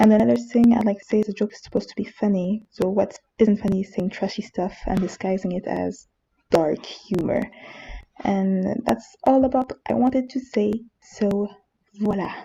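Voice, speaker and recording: A woman speaks in a strong French accent, her voice somewhat breathy with a dark, mellow tone. Her pitch varies in an ordinary way while her loudness swings widely. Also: medium pitch for a woman, moderate pace. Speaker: manga reviewer youtuber. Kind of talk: casual opinion monologue.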